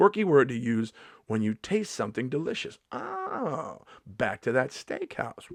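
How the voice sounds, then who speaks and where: Animated in tone, a man of medium pitch speaks fairly slowly with very wide pitch swings, the sound dry and close with no echo. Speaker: stand-up comedian vlogger. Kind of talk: casual comedic vlog. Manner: occasional stutter, mixes words up.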